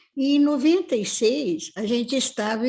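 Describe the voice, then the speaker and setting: Very slowly and somewhat breathily, a woman speaks with lively intonation. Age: 80s+. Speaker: family therapist and professor. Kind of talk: live-stream interview.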